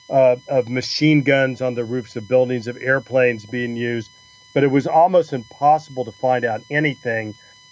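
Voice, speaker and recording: With an American accent and fairly even intonation, a man speaks as noticeable background noise carries on around him. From Oklahoma, US (Tulsa). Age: 60s. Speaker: historian. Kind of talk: interview.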